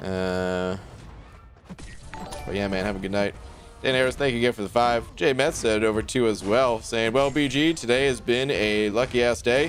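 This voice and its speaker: Over background music, a man with an American accent talks at a moderate pace with a medium pitch and ordinary pitch variation. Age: 30s. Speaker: game streamer. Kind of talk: live stream chat. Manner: casual.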